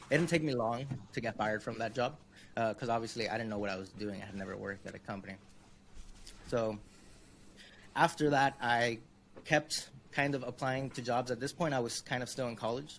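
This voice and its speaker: A man talks at a fairly quick pace in a Spanish accent, his pitch medium with ordinary variation. Long pauses come often. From Miami, Florida. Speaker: web design consultant. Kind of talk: interview.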